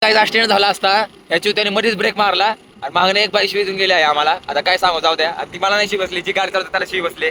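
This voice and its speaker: A man speaks at a high pitch in a raised, projected voice. His tone is bright and sharp. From Maharashtra, India. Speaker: vlogger. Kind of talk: casual vlog chat. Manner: animated.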